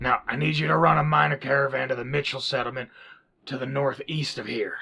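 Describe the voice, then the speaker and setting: A raspy, put-on character voice from a man, medium in pitch and fairly quick in pace. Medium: audio drama. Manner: hearty, folksy.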